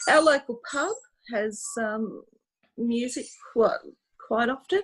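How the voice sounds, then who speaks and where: A high-pitched woman with an Australian accent, very slow in pace, with lively intonation. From Australia, Sydney. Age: 60s. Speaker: music fan guest. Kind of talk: casual interview chat.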